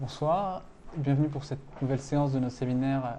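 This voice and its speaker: This man has a fairly high pitch. His intonation is fairly even. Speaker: seminar moderator. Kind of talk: seminar moderation. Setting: room with audience. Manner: halting.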